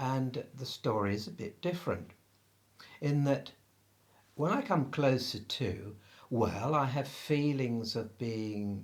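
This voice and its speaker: A man with an English accent talks at a very slow pace, leaving long, frequent pauses. His medium-pitched voice is somewhat breathy, with lively intonation. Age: 60s. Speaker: spiritual practitioner. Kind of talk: interview.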